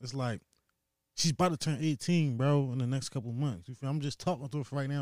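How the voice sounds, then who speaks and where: Ordinary pitch variation marks this very fast speech on a very clean recording with a silent background. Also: man. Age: 20s. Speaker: construction worker, host's younger brother. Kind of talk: casual chat. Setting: home basement studio. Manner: animated.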